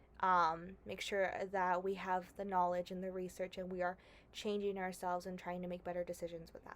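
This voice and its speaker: A woman at medium pitch, fairly quick, in a monotone, flat delivery. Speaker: YouTuber, movie reviewer. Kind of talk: casual vlog discussion. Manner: hesitant, many fillers.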